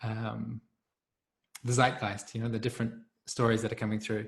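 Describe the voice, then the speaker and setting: A man with a New Zealand accent. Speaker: community facilitator. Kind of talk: group video call discussion.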